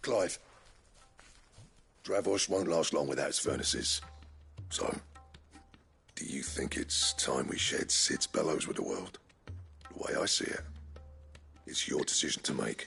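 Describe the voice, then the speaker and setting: Using a put-on character voice, a man speaks raspily at a moderate pace with long, frequent pauses over faint music in the background. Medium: cartoon.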